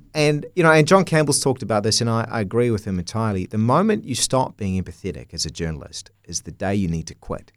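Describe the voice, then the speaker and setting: A medium-pitched man's voice with a New Zealand accent, very wide pitch swings, a very fast pace and hardly any pauses, on a very clean recording with a silent background. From New Zealand, North Canterbury. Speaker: TV journalist. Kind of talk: interview. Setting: studio.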